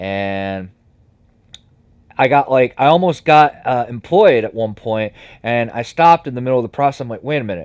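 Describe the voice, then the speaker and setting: On a very clean recording with a silent background, a man with an American accent talks at a moderate pace and medium pitch, using lively intonation, big swings in loudness and long, frequent pauses. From United States. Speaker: psychic and spiritual worker. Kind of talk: interview conversation. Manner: halting, with fillers and restarts.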